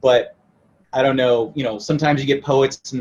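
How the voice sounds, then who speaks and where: Talking at a very fast pace, a man with an American accent sounds somewhat breathy. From moved around: Italy, England, then US West. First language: Italian. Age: young. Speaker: rock musician. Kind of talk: interview.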